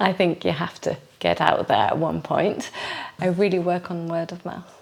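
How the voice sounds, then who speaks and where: With noticeable background noise, a woman speaks at a moderate pace in a fairly low pitch and fairly even intonation. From UK and Belgium. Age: 40s. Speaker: reflexologist. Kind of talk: interview. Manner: halting.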